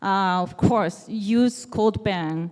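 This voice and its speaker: A woman with a Japanese accent. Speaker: developer advocate. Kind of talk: conference talk. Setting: stage with audience.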